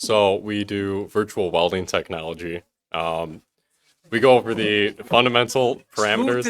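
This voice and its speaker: A man with a fairly low pitch and ordinary pitch variation speaks at a moderate pace on a very clean recording with a silent background. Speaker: welding program instructor. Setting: ceremony on stage.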